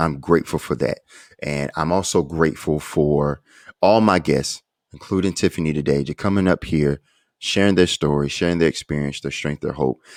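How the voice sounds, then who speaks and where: Speaking in an American accent at a moderate pace, the voice has vocal fry and fairly even intonation, with a dry, close sound and no echo. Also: man. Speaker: podcast host. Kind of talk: interview. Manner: halting.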